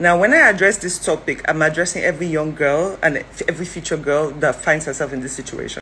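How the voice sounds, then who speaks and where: A woman's very deep, low voice at a very fast pace with hardly any pauses, over noticeable background noise. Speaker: social commentator. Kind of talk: video commentary. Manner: animated.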